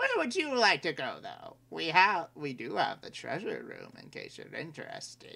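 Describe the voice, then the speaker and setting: A put-on character voice with a fairly high pitch runs at a moderate pace with hardly any pauses. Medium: actual play. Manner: smug, salesman-like.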